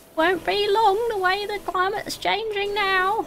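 Squeaky and extremely high-pitched, a woman's put-on character voice goes at a moderate pace.

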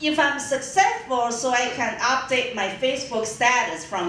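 In a room with audible echo and light background noise, a woman talks at a moderate pace in a high pitch. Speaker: stand-up comedian. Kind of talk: stand-up comedy routine. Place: stage.

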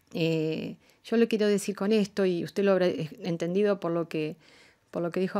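A woman's dark, mellow voice at a fairly slow pace, ordinary pitch variation, quiet background. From Argentina. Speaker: diplomat; guest. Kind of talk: radio interview. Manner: formal. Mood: calm, earnest, measured. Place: studio. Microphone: studio mic.

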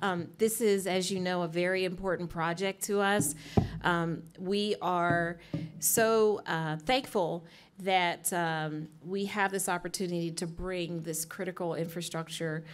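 A woman's unremarkable speaking voice, fairly low in pitch, at a fairly slow pace with fairly even intonation. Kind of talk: opening remarks at public meeting. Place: hall. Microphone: podium.

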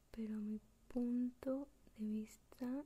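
Soft-spoken and gentle in tone, a woman whispers. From Mexico. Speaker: ASMR content creator. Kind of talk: whispered ASMR tutorial, intimate and close-mic, softly breathy. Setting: home recording with binaural microphone. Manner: slow, soft-spoken, gentle whisper, unhurried.

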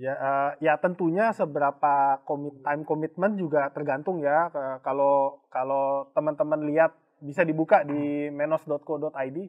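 A man with an unremarkable speaking voice, fairly high-pitched, fairly slow and fairly even in intonation, over a quiet background. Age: 40s. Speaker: company executive and mentor. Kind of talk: casual online talk show. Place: studio. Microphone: lapel.

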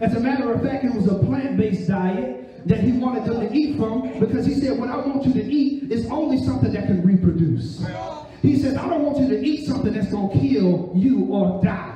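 An animated man with a high voice, lively intonation and a fairly quick pace, amid audible room echo and light background noise. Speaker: preacher. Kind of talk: sermon with call-and-response. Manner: animated, urgent, exhorting the listeners; repetitive, rhythmic preaching cadence. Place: church.

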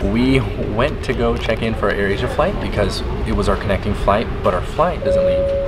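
A man talks at a moderate pace while music sounds in the background. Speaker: travel vlogger. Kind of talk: casual vlog chat. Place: hall. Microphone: phone near.

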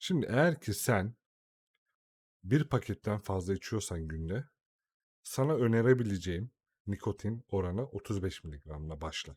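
This somewhat breathy voice has an animated tone with very wide pitch swings at a fairly slow pace. The recording is very clean, with a silent background. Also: man, dry, close sound with no echo. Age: 30s. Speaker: YouTuber. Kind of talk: tutorial. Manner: casual and animated.

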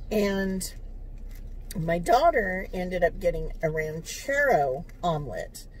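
Speaking at a very slow pace, a woman has a somewhat breathy voice, recorded with a dry sound and no echo. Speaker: food vlogger. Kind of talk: casual vlog chat. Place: car.

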